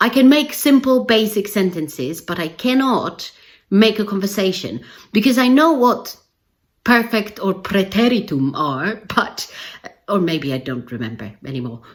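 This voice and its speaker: A woman at medium pitch speaks fairly slowly with a non-native accent and some vocal fry. Her pitch swings very widely. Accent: non-native English speaker. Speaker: English language teacher trainer. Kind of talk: educational video talk to camera. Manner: casual conversational.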